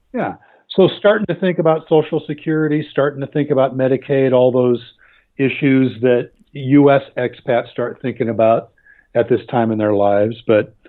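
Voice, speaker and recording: The pace here is moderate. A man talks at a medium pitch. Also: ordinary pitch variation. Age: 60s. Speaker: magazine writer and expat. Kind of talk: interview.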